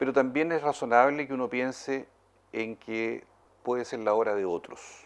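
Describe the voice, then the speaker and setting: Over a quiet background, a man with a Chilean accent speaks at a medium pitch and a moderate pace. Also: ordinary pitch variation. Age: 60s. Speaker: politician. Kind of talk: interview.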